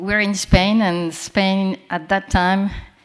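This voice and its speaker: At a fairly slow pace, a woman with a French accent speaks at a medium pitch. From France. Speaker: panel moderator, communications professional. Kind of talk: moderating a conference panel. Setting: conference room with live audience.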